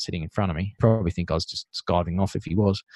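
A man with an Australian accent talks at a very fast pace. The sound is dry and close with no echo, over a quiet background. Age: 40s. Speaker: tradie business coach. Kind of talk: interview.

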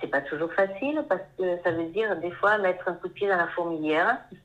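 An unremarkable speaking voice, moderate in speed, with ordinary pitch variation. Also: woman. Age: 50s. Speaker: painter, former pharmacist. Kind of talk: interview.

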